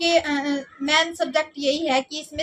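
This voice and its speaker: Fairly even intonation runs at a moderate pace, with noticeable background noise present. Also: woman. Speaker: vlogger. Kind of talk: casual vlog narration.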